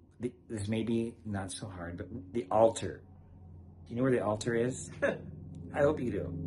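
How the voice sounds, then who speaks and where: A man talks in a fairly low pitch with ordinary pitch variation. There is noticeable background noise. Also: moderate pace. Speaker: parish priest host. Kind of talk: casual conversation with guest. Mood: cheerful, joking. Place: home room. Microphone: phone near.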